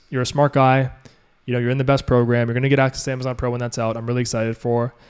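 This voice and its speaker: This is a man talking. His pitch is medium. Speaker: e-commerce coach. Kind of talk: live Q&A mentorship stream. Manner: fast; animated.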